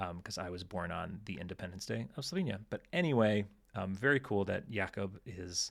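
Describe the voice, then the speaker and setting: A man with an American accent talks at a moderate pace with a fairly low pitch and ordinary pitch variation. The recording is very clean, with a silent background. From United States. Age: 30s. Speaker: podcast host. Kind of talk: casual chat. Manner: hesitant, many fillers.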